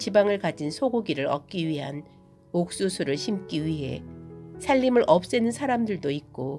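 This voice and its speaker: A woman's calm, gentle voice, fairly low in pitch and fairly slow, with very wide pitch swings and music in the background. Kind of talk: reflective essay narration.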